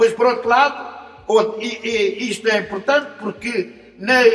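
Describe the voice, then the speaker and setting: A man with an extremely high pitch at a fairly slow pace, over noticeable background noise. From Portugal, Lisbon district. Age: 70s. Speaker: retired professor. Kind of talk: autobiographical narrative. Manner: halting, repeats words.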